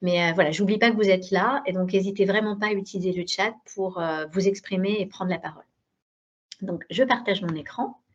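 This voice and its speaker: A woman talks at a fairly quick pace. Her pitch sits in the medium range with ordinary variation. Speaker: digital education program director. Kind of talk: webinar presentation. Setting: video conference. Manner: hesitant, many fillers.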